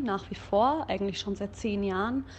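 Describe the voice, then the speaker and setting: A woman speaks at a moderate pace and a medium pitch, somewhat breathy, with ordinary pitch variation. The background is quiet. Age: 30s. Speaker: singer and vocal teacher. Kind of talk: casual chat.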